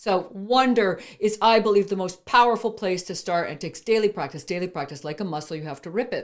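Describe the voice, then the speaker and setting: A woman talks at a fairly quick pace in an animated tone, at a medium pitch with ordinary variation. Her loudness swings a lot, and the recording is very clean with a silent background. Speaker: entrepreneur and speaker. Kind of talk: motivational interview talk.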